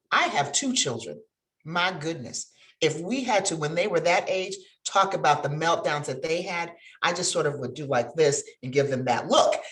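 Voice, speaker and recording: A woman with an American accent speaks at a fairly low pitch. Her intonation is lively. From upstate New York. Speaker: bar association president, attorney. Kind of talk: webinar greeting remarks.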